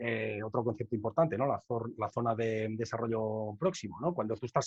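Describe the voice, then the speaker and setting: The sound is dry and close, with no echo. A man talks at a fairly quick pace in a somewhat breathy voice. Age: 30s. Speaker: rapper and educator. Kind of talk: conference Q&A. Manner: fast.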